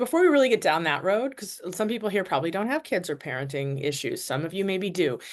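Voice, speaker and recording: Against a quiet background, a woman speaks at a very fast pace. Her pitch is fairly low and her intonation lively. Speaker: family law attorney. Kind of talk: webinar presentation. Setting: online webinar.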